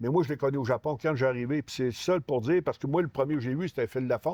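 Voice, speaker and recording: Fairly high in pitch, a man talks at a very fast pace with ordinary pitch variation, in a dry, close sound with no echo. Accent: Lac-Saint-Jean. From Quebec, Saguenay–Lac-Saint-Jean. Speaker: retired professional wrestler. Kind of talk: casual interview. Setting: store.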